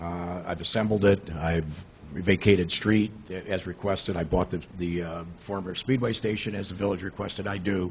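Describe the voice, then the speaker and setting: Somewhat breathy, a man speaks in a very deep, low pitch at a moderate pace with fairly even intonation. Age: 70s. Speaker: property developer addressing village board. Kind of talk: public comment at committee meeting. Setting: village committee meeting. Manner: halting, many fillers and repeats.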